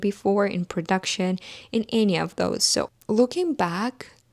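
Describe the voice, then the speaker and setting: A normal speaking voice at a moderate pace with ordinary pitch variation, dry and close with no echo, on a very clean recording with a silent background. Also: woman. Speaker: brand founder and podcast host. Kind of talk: solo personal podcast monologue. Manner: heartfelt, earnest.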